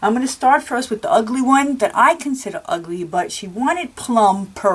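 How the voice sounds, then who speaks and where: Somewhat breathy, a woman talks at a moderate pace with very wide pitch swings. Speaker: crafting video creator. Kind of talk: show-and-tell tutorial. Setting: home craft room. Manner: halting with many fillers.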